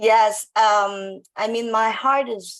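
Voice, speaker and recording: Speaking with a Filipino accent, a woman has a fairly high voice. Her pitch varies in an ordinary way. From Philippines, Baclaran (Manila). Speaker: business owner, former nurse. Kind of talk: panel interview.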